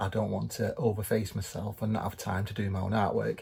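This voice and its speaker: Talking at a very fast pace, a man sounds somewhat breathy, with a fairly low pitch and fairly even intonation. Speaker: vlogger, artist and magician. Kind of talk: casual vlog chat. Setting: in a car.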